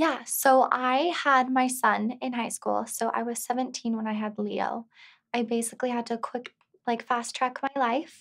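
A woman with a high pitch speaks at a fairly slow pace in a monotone, with flat intonation. The background is quiet. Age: 20s. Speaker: real estate agent and single mother; interviewee. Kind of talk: interview. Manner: casual, filler-heavy. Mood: open, personal, reflective. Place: studio.

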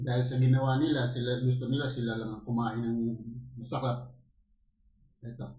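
A man at a fairly quick pace with long, frequent pauses, a dark, mellow tone and monotone, flat intonation. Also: medium pitch for a man. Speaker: mukbang vlogger. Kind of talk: angry rant against corrupt officials, after a prayer. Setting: home, eating on camera for ASMR mukbang. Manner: loud, furious, accusatory, cursing and wishing death on thieves.

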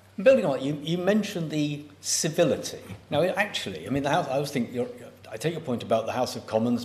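A man talking at a fairly quick pace, with audible room echo. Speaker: event chair and professor. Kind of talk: formal event chairing and Q&A moderation. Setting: lecture theatre with audience, also online. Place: hall. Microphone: podium.

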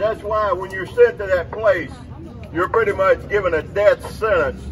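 Noticeable background noise surrounds a man speaking at a high pitch. He talks at a fairly slow pace with fairly even intonation. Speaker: former Parchman inmate speaker. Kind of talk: rally speech.

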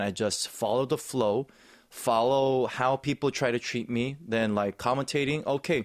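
A man with a Korean accent, medium pitch, ordinary pitch variation and a moderate pace against a quiet background. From South Korea. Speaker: actor and snowboard commentator; interview guest, sports commentator. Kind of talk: interview. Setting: studio. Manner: enthusiastic. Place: studio. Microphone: studio mic.

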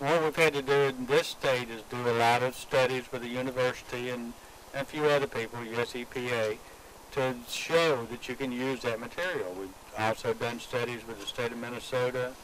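Here a man speaks at a moderate pace and medium pitch. His tone is fairly bright, his intonation fairly even.

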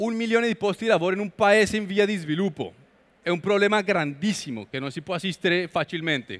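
A man with a Spanish accent talks very fast in a high voice. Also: ordinary pitch variation. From Colombia. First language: Spanish (speaking Italian). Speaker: entrepreneur and international speaker; guest. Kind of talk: lecture. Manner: halting. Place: hall. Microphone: headset.

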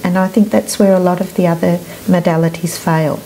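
Against light background noise, a woman with an Australian accent and a fairly low pitch talks at a fairly quick pace. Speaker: EFT practitioner. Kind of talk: interview. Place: studio. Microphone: lapel.

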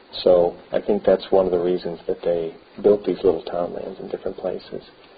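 An American accent marks this man's speech. He goes at a medium clip. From Beaver Island, Michigan, USA; Michigan. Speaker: local historian. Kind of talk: oral history interview. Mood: calm, reflective. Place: church.

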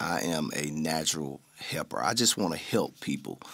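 A man's voice with vocal fry. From Memphis, Tennessee (Orange Mound). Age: 50s. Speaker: singer and mental health therapist. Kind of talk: casual interview chat. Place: studio. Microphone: studio mic.

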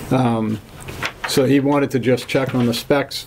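Against noticeable background noise, a man speaks fairly slowly in a flat monotone. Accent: American. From Massachusetts. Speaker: land surveyor. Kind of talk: public hearing presentation. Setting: town hall meeting room. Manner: formal. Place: meeting room.

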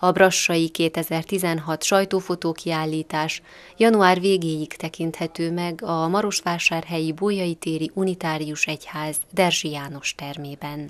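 A woman speaks at a very slow pace with hardly any pauses. Her pitch is fairly low and her intonation fairly even. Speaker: news reporter. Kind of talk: news report.

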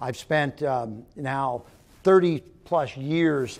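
A man at a very slow pace with fairly even intonation. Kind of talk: interview answer. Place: hall. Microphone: lapel.

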